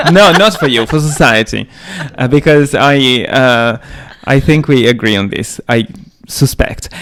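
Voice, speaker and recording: Speaking with a non-native accent, a man at medium pitch uses lively intonation over noticeable background noise. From outside Britain. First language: not English. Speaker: podcast co-host. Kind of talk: casual discussion. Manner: halting.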